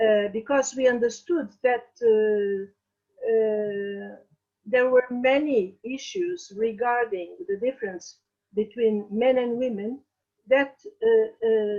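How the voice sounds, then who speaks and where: Speaking at a very slow pace, a woman with a Portuguese accent uses a fairly high pitch and ordinary pitch variation. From Portugal. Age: 60s. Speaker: feminist activist. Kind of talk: interview. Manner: halting, many fillers.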